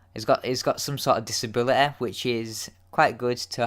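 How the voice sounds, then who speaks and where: At a moderate pace, a man speaks in a very clean recording with a silent background. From Yorkshire, northern England. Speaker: YouTube TV episode reviewer. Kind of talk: casual solo review. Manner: hesitant, many fillers and repeats.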